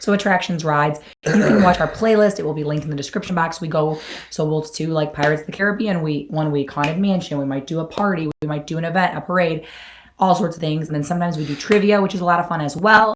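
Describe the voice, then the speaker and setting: Speech races at a very fast pace with ordinary pitch variation. Noticeable background noise runs underneath. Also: woman, fairly low pitch for a woman. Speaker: YouTube host. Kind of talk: live stream chat. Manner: hoarse and raspy.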